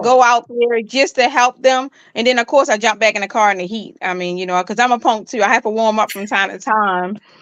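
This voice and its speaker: Woman's unremarkable speaking voice with an American accent, fairly quick with hardly any pauses, big swings in loudness and ordinary pitch variation, over a quiet background. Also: fairly high pitch for a woman. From Baltimore, Maryland. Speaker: nonprofit founder, street minister. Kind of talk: interview answer.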